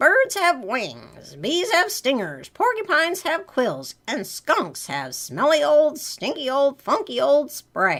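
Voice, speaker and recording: A put-on character voice, high-pitched, raised and projected, at a fairly slow pace with hardly any pauses. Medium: read story. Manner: gentle.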